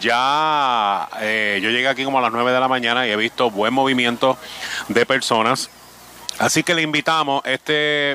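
Speech at a moderate pace with ordinary pitch variation comes through a dry, close sound with no echo, over noticeable background noise. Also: man. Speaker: radio host. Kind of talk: live remote radio interviews. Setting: outdoor remote broadcast at a flea market.

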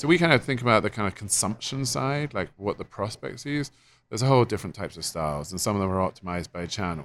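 A man with an English accent talks at a very fast clip, his fairly low voice swinging very widely in pitch. The recording is very clean, with a silent background. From England. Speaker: software company co-founder. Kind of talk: interview. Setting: conference.

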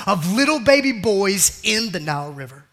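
Raising and projecting his voice, a man speaks at a moderate pace with a high pitch, an animated tone, and very wide pitch swings. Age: 40s. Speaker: pastor. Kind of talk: sermon.

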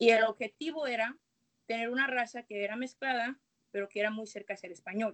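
A woman with an ordinary speaking voice and a fairly high pitch talks at a fairly quick pace, with fairly even intonation and big swings in loudness. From Guadalajara, Jalisco, Mexico. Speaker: guest speaker on Afro-Mexican identity. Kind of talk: casual chat.

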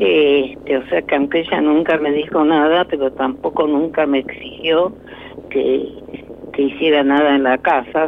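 A woman's very deep, low voice at a fairly slow pace, with ordinary pitch variation and noticeable background noise. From Argentina (born in Tucumán, raised mainly elsewhere). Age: 90s. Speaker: lawyer and professor, human rights activist. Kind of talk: radio interview.

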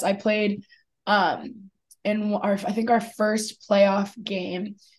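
A woman talks with a somewhat breathy quality. Her pitch sits in the middle range. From Philadelphia, US. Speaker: college lacrosse player. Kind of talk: sports interview.

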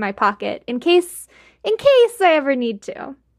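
With an American accent, a woman speaks at a fairly slow pace. Her intonation is lively. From US South, Georgia. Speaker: podcast producer. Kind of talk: casual chat.

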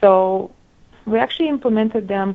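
A woman speaks with a Russian accent. Her pace is fairly slow. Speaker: medical resident, researcher. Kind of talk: interview.

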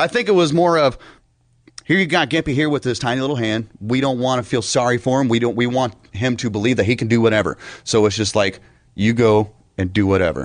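Over a quiet background, a man with an American accent speaks very fast. His medium-pitched voice has lively intonation. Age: 30s. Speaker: radio show co-host. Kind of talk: casual radio banter. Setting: radio studio.

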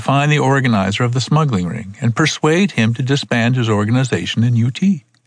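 Pitch varies in an ordinary way across a natural reading voice.

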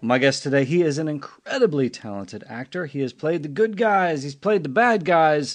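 A man's animated tone with lively intonation, a moderate pace and hardly any pauses. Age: 50s. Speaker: podcast host. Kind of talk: casual chat; scripted announcement.

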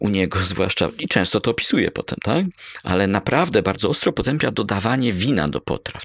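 A man with a normal speaking voice talks at a fairly quick pace in a fairly low pitch, with a dry, close sound and no echo. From Poland, Bydgoszcz area (Kuyavia-Pomerania). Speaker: history professor. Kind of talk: interview. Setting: in a university culinary heritage centre.

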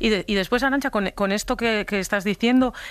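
A woman with an Asturian accent speaks at a fairly quick pace with ordinary pitch variation. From Asturias. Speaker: journalist, radio contributor. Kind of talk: radio talk.

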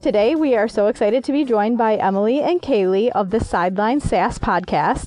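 A woman with a Michigan accent, fairly high in pitch, at a fairly quick pace with lively intonation. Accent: Michigan, northern US. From Michigan, US. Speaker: podcast host, women's sports radio. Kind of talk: interview.

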